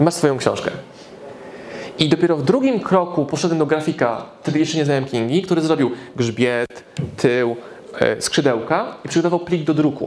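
A man with a fairly high pitch and ordinary pitch variation, long, frequent pauses, audible room echo and noticeable background noise. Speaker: business speaker and author. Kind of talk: live lecture to audience. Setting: stage with audience. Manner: fast; animated.

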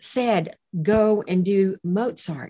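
A woman's dark, mellow tone at a very slow pace. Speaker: therapist and sound healer. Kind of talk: interview conversation. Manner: soft-spoken.

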